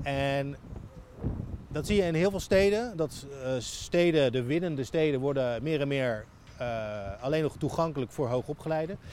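Lively intonation carries the moderate-paced speech over noticeable background noise. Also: man, fairly high pitch for a man. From Netherlands, Rotterdam (Overschie). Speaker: writer. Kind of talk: walking interview. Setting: outdoors, walking through the city. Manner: halting.

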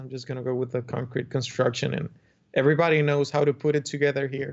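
In a Spanish accent, a man speaks at a fairly quick pace with a fairly high pitch. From Dominican Republic. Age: young. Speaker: architect. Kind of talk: podcast interview.

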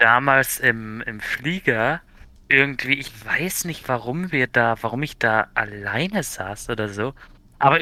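With a plain, everyday voice, a man uses lively intonation at medium pitch in a very clean recording with a silent background. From Bavaria, Germany. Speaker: podcast co-host. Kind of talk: casual chat.

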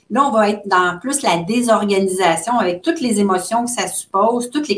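A woman's plain, everyday voice with lively intonation. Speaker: social worker specializing in grief. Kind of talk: interview conversation.

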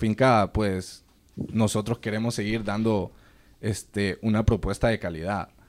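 A man talks at a fairly slow pace in medium pitch. He has a plain, everyday voice, captured on a very clean recording with a silent background. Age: 20s. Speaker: sheep farming entrepreneur. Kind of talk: casual interview.

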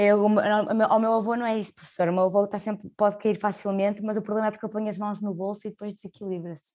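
A woman speaks at medium pitch in a flat monotone. Her pace is very fast, with hardly any pauses. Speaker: podcast host. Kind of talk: interview.

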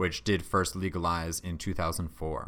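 The very clean recording, with its silent background, captures a man speaking. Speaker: podcast host. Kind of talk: casual podcast chat.

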